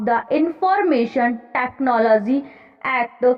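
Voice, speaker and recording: At a very slow pace, a woman speaks at a high pitch against noticeable background noise. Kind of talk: main passage dictation at 90 wpm, news-style text with spoken 'para'. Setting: exam hall dictation. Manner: slow, clear, steady pace.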